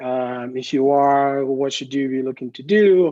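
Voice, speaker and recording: A man with a fairly high pitch speaks in an unremarkable speaking voice, his intonation fairly even against a quiet background. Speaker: statistics professor. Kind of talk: presentation talk.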